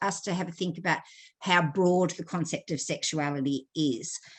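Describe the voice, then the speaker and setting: With an Australian accent, a woman speaks at a fairly low pitch with ordinary variation over a quiet background. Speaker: sexologist and counselor. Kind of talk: online lecture. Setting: video call from Australia. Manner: conversational, with hesitations.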